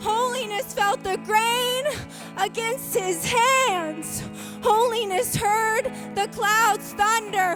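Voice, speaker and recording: A woman talks at a very slow pace while music plays in the background. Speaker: spoken word poet. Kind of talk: spoken word poetry performance.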